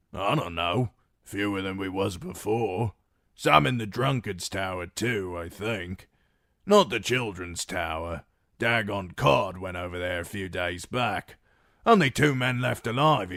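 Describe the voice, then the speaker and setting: A man does a raspy, put-on character voice at a fairly low pitch, with ordinary pitch variation and a fairly slow pace. The recording is very clean, with a silent background. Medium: read story. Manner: rough, simple speech.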